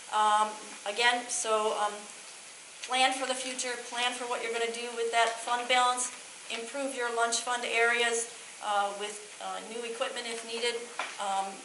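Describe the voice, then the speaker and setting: Speaking in a flat monotone at a fairly high pitch, a woman pauses long and often, with noticeable background noise and audible room echo. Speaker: auditor. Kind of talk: financial report presentation. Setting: school board meeting. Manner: fast.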